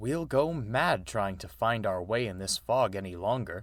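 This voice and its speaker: A man's growling put-on character voice, fairly low in pitch, at a moderate pace, in a very clean recording with a silent background. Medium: read story. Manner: sighing, resigned.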